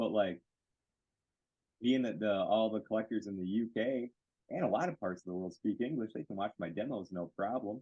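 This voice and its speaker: A man with a Western US accent speaks at a fairly quick pace, his voice fairly low and animated. His pitch moves in an ordinary way, broken by long, frequent pauses. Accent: American, self-described cowboy. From Michigan, US. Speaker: card care product maker. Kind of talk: interview.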